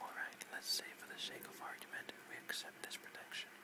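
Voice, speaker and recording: A man whispering in a soothing tone, over noticeable background noise. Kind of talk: whispered audiobook-style reading of a novel chapter, relaxation. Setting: rain and thunder background sounds. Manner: whispered, soothing; makes occasional reading mistakes.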